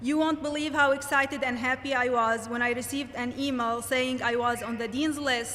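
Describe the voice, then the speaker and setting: A raised, projected female voice, high in pitch, in a monotone, flat intonation. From Lebanon. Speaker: graduating student speaker. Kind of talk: commencement speech.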